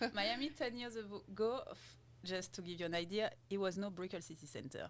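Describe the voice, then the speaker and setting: With a French accent, a woman speaks at a medium pitch and a fairly quick pace, her intonation lively. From French Caribbean island, then southern France. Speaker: realtor, podcast host. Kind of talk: casual chat.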